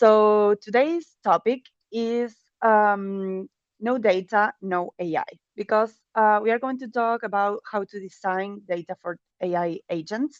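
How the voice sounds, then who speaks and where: A woman speaks with a non-native accent in a dry, close recording with no echo. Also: fairly high pitch for a woman, ordinary pitch variation, fairly slow pace. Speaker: data and AI product lead, conference speaker. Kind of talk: conference talk. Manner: hesitant, many fillers.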